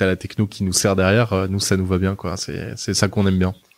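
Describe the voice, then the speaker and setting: Recorded very cleanly against a silent background, a man talks at a fairly quick pace in a fairly low pitch. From southern France, Nice. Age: 30s. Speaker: media group executive. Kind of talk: interview. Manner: hesitant, many fillers.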